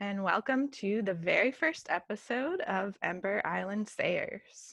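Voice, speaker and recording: Speaking at a fairly slow pace, a woman with an ordinary speaking voice uses lively intonation at a fairly high pitch. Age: 20s. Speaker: podcast co-host. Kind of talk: casual chat.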